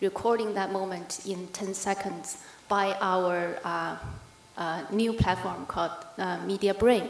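Here a woman speaks at a fairly slow pace with fairly even intonation. Light background noise and audible room echo are present. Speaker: conference speaker, news editor. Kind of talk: conference presentation. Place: hall. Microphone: podium.

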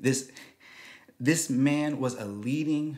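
The pace is very slow. It is a man talking. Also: quiet background. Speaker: show host. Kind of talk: commentary. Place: studio. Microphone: studio mic.

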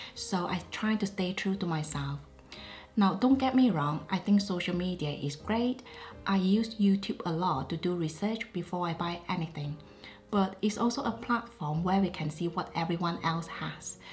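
Over music in the background, a woman speaks at a moderate pace with a medium pitch and ordinary pitch variation. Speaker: luxury fashion YouTuber. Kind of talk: casual chit-chat talk to camera.

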